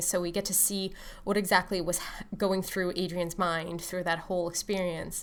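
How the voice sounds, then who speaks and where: A woman speaks at a medium pitch. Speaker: author. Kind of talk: casual talk to camera about her books. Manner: fast; hesitant with many fillers.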